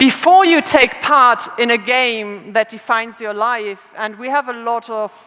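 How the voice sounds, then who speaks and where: Noticeable background noise runs behind the speaker. A woman speaks at a fairly high pitch with fairly even intonation. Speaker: conference speaker. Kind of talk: lecture. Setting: stage with audience. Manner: halting.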